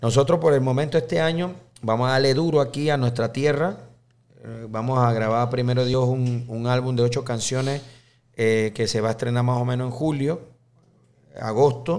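Man at a moderate pace with fairly even intonation. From Panama. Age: 30s. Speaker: accordionist and band leader; guest. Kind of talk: casual interview chat. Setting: studio. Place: studio. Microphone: studio mic.

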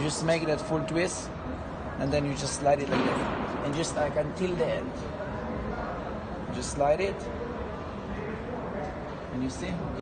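A man at a fairly slow pace with long, frequent pauses, amid loud background noise. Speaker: mall kiosk salesman. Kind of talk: sales product demonstration. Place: shop.

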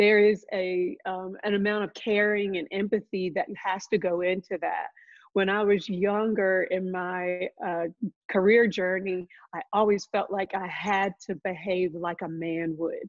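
Against a quiet background, a woman speaks fairly slowly in a monotone, flat intonation. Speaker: nonprofit chief executive. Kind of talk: panel discussion. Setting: video call. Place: home room. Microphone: video call.

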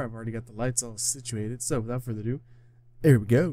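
Quiet and very fast, a man speaks with a dark, mellow tone in a dry sound with no echo. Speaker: gaming reaction youtuber. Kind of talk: casual reaction commentary. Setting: home recording at night. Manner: speaking quietly. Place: home room.

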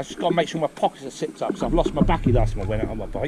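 A man talks against loud background noise. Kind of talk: casual phone chat. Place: street. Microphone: helmet.

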